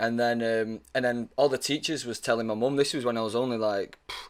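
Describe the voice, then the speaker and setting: On a very clean recording with total background silence, a man with a Mancunian accent talks at a fairly quick pace in a medium pitch with ordinary pitch variation. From northern England, Manchester. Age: 20s. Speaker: actor. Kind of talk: casual chat.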